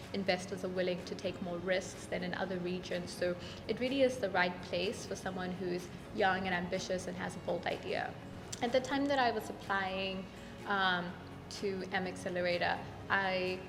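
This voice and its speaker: Over music in the background and audible room echo, a woman speaks at a moderate pace with a medium pitch and fairly even intonation. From Kenya and South Africa. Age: 20s. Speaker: startup founder, business student. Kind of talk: interview testimonial.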